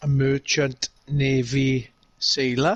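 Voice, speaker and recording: A man with a strong British accent at a fairly high pitch, in a dry, close sound with no echo. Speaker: gamer guest. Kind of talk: casual chat.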